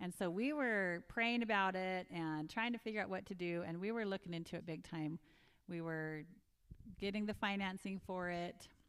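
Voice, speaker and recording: A woman with an ordinary speaking voice talks at a medium pitch and a moderate pace. Her intonation is fairly even. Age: 50s. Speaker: nurse, mother of four. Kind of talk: casual chat. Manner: laughs often.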